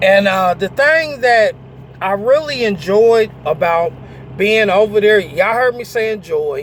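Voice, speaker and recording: Over noticeable background noise, a man speaks slowly-ish, at a fairly slow pace, with a high pitch and lively intonation. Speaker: truck driver and vlogger. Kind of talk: casual storytelling vlog. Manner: hesitant, many fillers.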